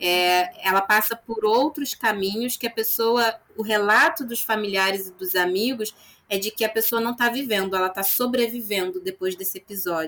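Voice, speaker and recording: A woman's bright, sharp tone at a moderate pace, with hardly any pauses. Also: fairly high pitch for a woman, ordinary pitch variation. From Nova Friburgo, Rio de Janeiro state, Brazil. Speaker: psychologist. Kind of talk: interview.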